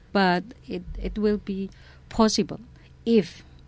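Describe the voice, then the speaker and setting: A woman with an Indonesian accent speaks with ordinary pitch variation, recorded very cleanly against a silent background. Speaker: head of a sanitation association. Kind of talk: interview.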